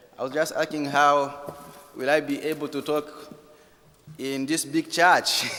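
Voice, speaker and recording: A fairly high-pitched man at a fairly slow pace, with monotone, flat intonation, long, frequent pauses and noticeable background noise. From eastern DR Congo. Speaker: refugee and Bible college student. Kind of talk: church talk / testimony. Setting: church. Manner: halting non-native phrasing.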